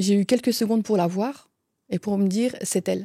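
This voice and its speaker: A woman with a Franche-Comté accent, dark and mellow in tone, at a moderate pace with ordinary pitch variation, in a very clean recording with a silent background and a dry, close sound with no echo. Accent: Franche-Comté accent, still noticeable. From Franche-Comté, eastern France. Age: 40s. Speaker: closer, former pastry chef. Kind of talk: interview, personal story. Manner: hesitant, many fillers.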